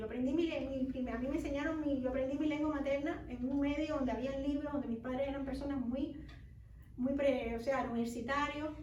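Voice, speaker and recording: Audible room echo surrounds a woman speaking at a high pitch with monotone, flat intonation. She keeps a fairly quick pace. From Cuba. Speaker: children's author. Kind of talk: book fair talk. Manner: halting, many restarts.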